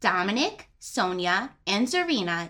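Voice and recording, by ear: A natural voice is heard reading aloud.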